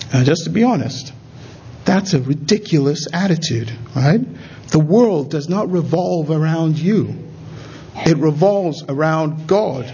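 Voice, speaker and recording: Over noticeable background noise and audible room echo, a man with a fairly high pitch talks at a fairly slow pace, with ordinary pitch variation and long, frequent pauses. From Nigeria. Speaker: pastor. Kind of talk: sermon.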